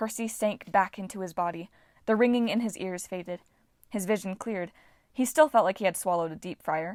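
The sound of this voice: An unforced reading voice moves along with ordinary pitch variation.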